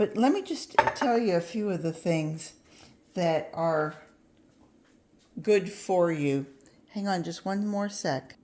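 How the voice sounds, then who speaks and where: At a very slow pace with long, frequent pauses, a woman of medium pitch speaks against noticeable background noise. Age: 70s. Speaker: gardening channel host. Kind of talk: cooking tutorial. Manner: halting, many fillers; casual, friendly.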